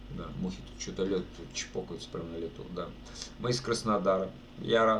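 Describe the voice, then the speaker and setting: The speech moves at a moderate pace with big swings in loudness. Room echo is audible. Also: man, very deep, low pitch for a man, ordinary pitch variation. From Russia, Saratov region. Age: 30s. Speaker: streamer and amateur guitarist. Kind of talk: casual live stream chat. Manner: casual, colloquial.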